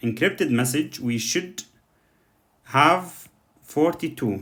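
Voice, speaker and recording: The speaker has a non-native accent and ordinary pitch variation. The recording is very clean, with a silent background. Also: man. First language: not English. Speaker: coding tutor. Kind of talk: tutorial. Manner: halting, many fillers.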